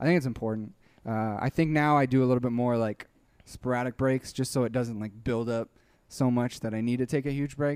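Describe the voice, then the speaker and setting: A man talks in an ordinary speaking voice at medium pitch with fairly even intonation. His pace is fairly quick, in a dry, close sound with no echo. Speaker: YouTuber, dubber and musician. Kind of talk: casual interview.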